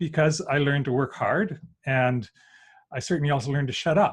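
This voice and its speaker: In a Canadian accent, a man speaks with a fairly high pitch. His voice is somewhat breathy, and the background is quiet. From Saskatchewan, Canadian prairies. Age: 60s. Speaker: workshop presenter, former engineer. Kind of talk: online presentation. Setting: group video call.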